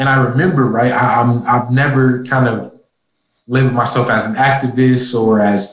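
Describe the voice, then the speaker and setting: With a somewhat breathy, medium-pitched voice, a man speaks at a moderate pace and with fairly even intonation. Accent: American. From Minnesota. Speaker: university student and athlete. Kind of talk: interview.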